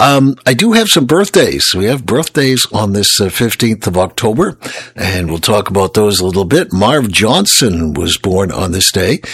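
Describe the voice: A man speaks with a gravelly voice and a fairly bright tone. His intonation is lively.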